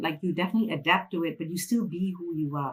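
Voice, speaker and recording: Somewhat breathy, a woman speaks with a Malaysian accent. Her pace is fairly quick and her intonation lively. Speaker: financial freedom mentor. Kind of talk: interview.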